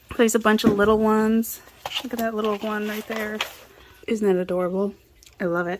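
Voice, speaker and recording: Over noticeable background noise, a woman with a fairly high pitch speaks at a fairly quick pace in a flat, monotone way, leaving long, frequent pauses. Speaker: craft and book vlogger. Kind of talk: casual show-and-tell haul video. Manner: short breaths, little pauses.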